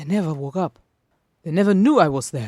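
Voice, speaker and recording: A woman's very deep, low voice, somewhat breathy, with very wide pitch swings and a dry, close sound with no echo. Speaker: podfic reader and writer. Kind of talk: dramatic fiction reading.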